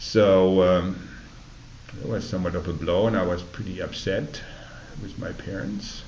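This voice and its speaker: This man has a German accent and a very deep, low pitch. He speaks at a moderate pace in a monotone, flat intonation, with long, frequent pauses. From Germany. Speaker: oral history interviewee. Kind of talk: oral history interview. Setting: library recording booth.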